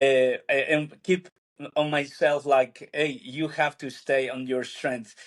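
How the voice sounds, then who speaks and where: With a Spanish accent, a man talks very slowly in a fairly high voice, his intonation monotone and flat. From Peru. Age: 40s. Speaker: church planter, pastor. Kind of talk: casual interview conversation. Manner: halting, many fillers.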